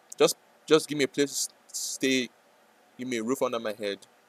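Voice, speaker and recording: Speaking with a non-native accent, a man's voice sits fairly high in pitch. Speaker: day trader streamer. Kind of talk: live trading stream chat. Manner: hesitant, repetitive.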